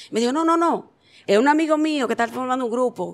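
A woman with a Dominican accent, high-pitched, at a fairly quick pace. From Dominican Republic. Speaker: singer and dancer. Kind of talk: interview. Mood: animated storytelling. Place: studio. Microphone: handheld.

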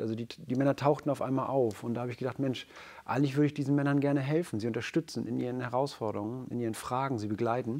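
A man speaks with a dark, mellow tone. His pace is very fast, and his intonation stays fairly even. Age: 40s. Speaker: men's coach. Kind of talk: casual chat. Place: studio. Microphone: lapel.

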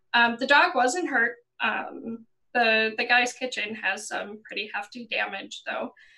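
Against a quiet background, a woman with a fairly high voice and a bright, sharp tone speaks at a fairly slow pace. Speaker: YouTuber panelist. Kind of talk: casual panel discussion. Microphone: headset.

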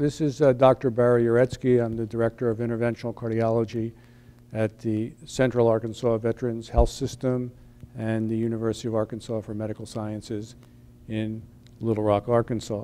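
The delivery is monotone, with flat intonation. The pace is fairly quick. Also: man. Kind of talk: interview statement.

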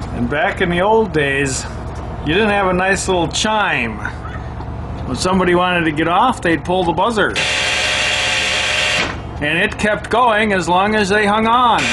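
A man at a moderate pace with ordinary pitch variation and long, frequent pauses, over loud background noise. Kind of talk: casual vlog commentary. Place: bus. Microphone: phone near.

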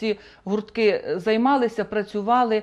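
A woman talks at a very slow pace against a quiet background. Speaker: guest. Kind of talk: interview answer. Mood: calm, official, informative. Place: studio. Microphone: lapel.

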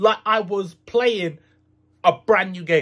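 A man speaks in a raised, projected voice. His pace is very slow. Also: quiet background. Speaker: gaming video creator. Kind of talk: casual vlog chat. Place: home room.

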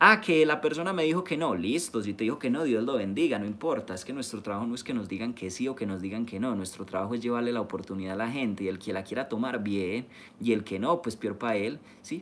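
The speaker's tone is animated and the intonation lively. The pace is very fast. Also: man. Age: 20s. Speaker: network marketing leader. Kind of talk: live-streamed training talk. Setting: live stream. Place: home room. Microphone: phone near.

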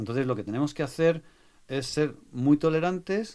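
In a very clean recording with a silent background, a man uses an ordinary speaking voice at a moderate pace with ordinary pitch variation. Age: 60s. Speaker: music producer. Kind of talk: interview.

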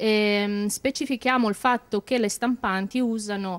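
Using a plain, everyday voice, a woman talks at a moderate pace with fairly even intonation. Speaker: production manager. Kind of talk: interview. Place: workshop. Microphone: handheld.

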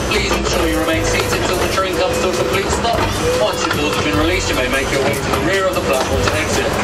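A man talks at a very fast pace while clear music plays in the background. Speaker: ride announcer. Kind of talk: tour announcement. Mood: cheerful, festive. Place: train.

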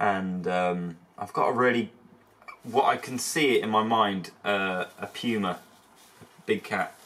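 A plain, everyday voice from a man, fairly low in pitch, with fairly even intonation. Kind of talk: casual vlog chat. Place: workshop. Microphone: phone near.

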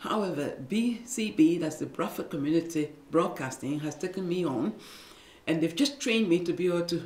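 A woman speaks with a fairly low pitch and lively intonation. Room echo is audible. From Liberia. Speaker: former nurse and midwife, radio producer. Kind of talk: interview answer. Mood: earnest, emotional recollection. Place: studio.

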